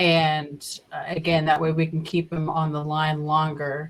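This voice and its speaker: A woman speaks in a Southern US accent at a fairly slow pace. Her very deep, low voice stays monotone and flat. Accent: Southern US accent in her normal voice. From Oklahoma. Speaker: podcast co-host and scambaiter. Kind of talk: casual chat.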